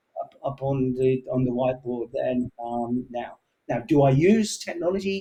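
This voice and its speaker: In an English accent, a man speaks at a moderate pace with a dark, mellow, somewhat breathy tone, medium pitch, and ordinary pitch variation. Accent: English, kept after moving to Canada. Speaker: sales executive. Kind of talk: interview conversation. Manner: halting, many fillers.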